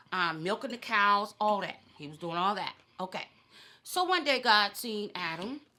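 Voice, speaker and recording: A plain, everyday voice from a woman at medium pitch, with big swings in loudness, a moderate pace and lively intonation. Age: 50s. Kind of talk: casual storytelling during eating show.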